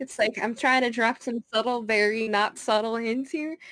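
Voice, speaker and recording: A normal speaking voice at a moderate pace, dry and close with no echo. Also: woman. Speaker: streamer and gamer. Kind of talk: casual chat.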